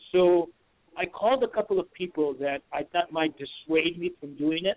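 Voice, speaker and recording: A man with a Puerto Rican accent speaks at a high pitch. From Puerto Rico. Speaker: insurance broker, page creator. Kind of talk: radio interview. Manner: halting.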